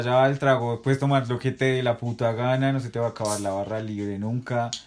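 This man has a normal speaking voice, with a medium pitch, fairly even intonation and a moderate pace. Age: 20s. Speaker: best friend of host. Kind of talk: casual chat.

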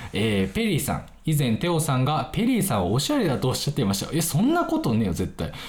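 Talking at a very fast pace, a man has a fairly high pitch, very wide pitch swings, and vocal fry. Audible room echo surrounds his voice. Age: 20s. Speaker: podcast host. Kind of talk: casual solo chat. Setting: recording late at night. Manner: casual, filler-heavy.

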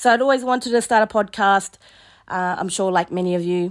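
Lively intonation marks this woman's New Zealand accent. She talks fairly quickly at a medium pitch. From New Zealand, East Coast. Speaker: podcast host, youth justice worker. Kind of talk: solo podcast monologue. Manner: hesitant, with fillers.

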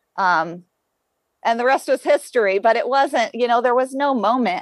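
In a normal speaking voice, a woman talks at a moderate pace with an American accent, her pitch fairly high and her intonation lively. The sound is dry and close, with no echo. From rural Ohio, US Midwest. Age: 40s. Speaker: elite marathon runner. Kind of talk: interview, casual chat.

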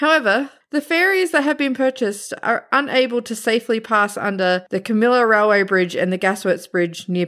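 A fairly high-pitched woman with an Australian accent and lively intonation, talking at a fairly quick pace with hardly any pauses on a very clean recording with a silent background. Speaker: podcast co-host. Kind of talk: casual chat.

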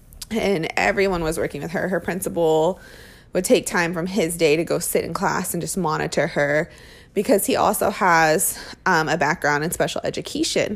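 A woman with an ordinary speaking voice talks at a moderate pace and a fairly low pitch, with ordinary pitch variation, in a very clean recording with a silent background. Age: 30s. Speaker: parenting podcaster. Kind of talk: casual monologue.

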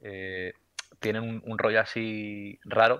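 A man is speaking. His pitch is fairly low. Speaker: podcast co-host. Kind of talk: casual chat, film trivia quiz.

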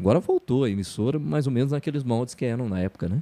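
A man talks at a very fast pace in a dark, mellow tone with lively intonation. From Paraná, Brazil (Telêmaco Borba). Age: 50s. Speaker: radio announcer and sports narrator. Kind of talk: casual interview chat.

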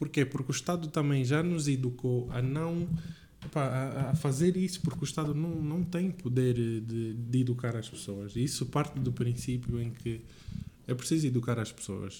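At a moderate pace, a man speaks with medium pitch, ordinary pitch variation and a dark, mellow, somewhat breathy tone. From Angola, Lubango. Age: 20s. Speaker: podcast co-host, engineering student. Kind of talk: casual chat.

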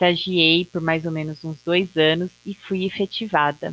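A woman with a normal speaking voice speaks fairly slowly at a fairly low pitch, with a dry, close sound and no echo. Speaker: podcaster. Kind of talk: personal monologue.

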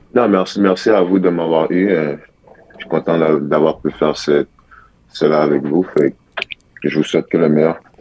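A man's very deep, low voice in a Quebec accent, fairly slow and fairly even, with long, frequent pauses over noticeable background noise. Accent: Québécois French. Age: young. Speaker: college basketball player. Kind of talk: radio interview. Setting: phone call.

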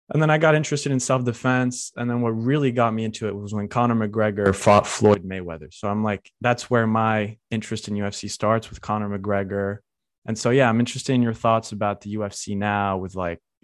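Over a quiet background, a man with a plain, everyday voice speaks at a fairly quick pace in a fairly low pitch with ordinary pitch variation. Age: 20s. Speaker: podcast host. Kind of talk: casual chat.

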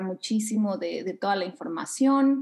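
This woman's voice has a fairly high pitch. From Mexico City. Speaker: yoga instructor and manifestation coach. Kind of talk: interview conversation.

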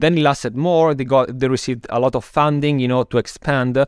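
At a fairly quick pace, a man with an Italian accent speaks at a medium pitch with ordinary pitch variation, in a dry, close sound with no echo. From Italy (Milan). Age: 30s. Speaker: marketing agency founder. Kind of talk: interview. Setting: video call. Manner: frequent fillers like 'you know'.

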